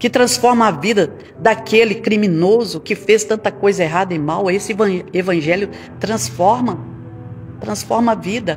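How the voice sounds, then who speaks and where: A woman talks at a moderate pace and medium pitch with lively intonation. Music plays in the background. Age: 60s. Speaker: pastor. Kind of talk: sermon.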